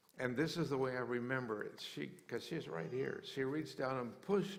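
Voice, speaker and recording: Speaking with an American accent at a medium pitch, a man is heard with audible room echo. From US West, rural western Colorado. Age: 70s. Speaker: mission charity founder. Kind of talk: interview testimony in church service. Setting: church service with congregation. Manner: halting, with repeated words.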